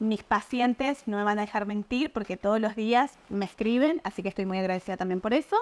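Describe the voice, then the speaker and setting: A woman at a fairly quick pace, hardly any pauses, ordinary pitch variation. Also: fairly high pitch for a woman. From Argentina, Mendoza/San Juan; Argentina. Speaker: nutritionist; guest. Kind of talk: interview, explanatory. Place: home room.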